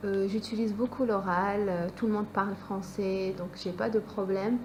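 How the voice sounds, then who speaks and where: Speaking at a medium pitch, a woman keeps a monotone, flat intonation at a fairly slow pace. Background noise is noticeable. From France. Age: 20s. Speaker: student. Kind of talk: interview. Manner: hesitant.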